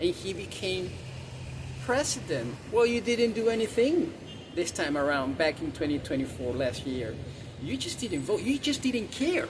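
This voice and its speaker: Amid noticeable background noise, a man speaks at a moderate pace in an animated tone with very wide pitch swings. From South America. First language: Spanish. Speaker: vlogger. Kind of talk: opinion rant to camera. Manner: animated, repetitive; halting with stammered repeats.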